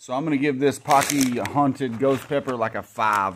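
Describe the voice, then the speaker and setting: The man's delivery moves at a moderate pace. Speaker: vlogger. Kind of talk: casual vlog chat. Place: garage. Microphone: phone near.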